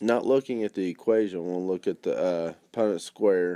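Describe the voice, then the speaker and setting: In a very clean recording with a silent background, a man speaks at a moderate pace in a fairly low pitch. His tone is dark and mellow, the sound dry and close with no echo, and his pitch variation ordinary. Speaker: math teacher. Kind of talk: lecture. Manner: soft-spoken.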